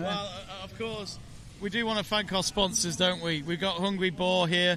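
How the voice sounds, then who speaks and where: In a northern English accent, a man uses a raised, projected, high-pitched voice with fairly even intonation at a moderate pace over noticeable background noise. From northern England. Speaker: live event commentator. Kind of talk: live commentary. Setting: live event arena.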